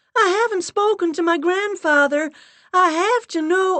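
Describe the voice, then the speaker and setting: A loud, squeaky, put-on character voice, female-sounding and extremely high in pitch, at a moderate pace. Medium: read story. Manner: loud, insistent.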